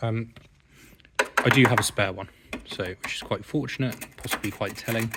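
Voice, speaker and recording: With an English accent, a man of medium pitch speaks with long, frequent pauses against noticeable background noise. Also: fairly even intonation, moderate pace. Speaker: car restorer and video host. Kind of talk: tutorial-style vlog walkthrough. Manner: casual.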